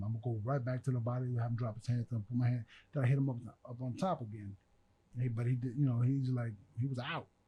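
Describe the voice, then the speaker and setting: A dark, mellow, somewhat breathy voice at a very fast pace. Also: man. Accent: American. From US Midwest (Fort Dodge, Iowa). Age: 40s. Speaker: former boxer. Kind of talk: casual chat. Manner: animated.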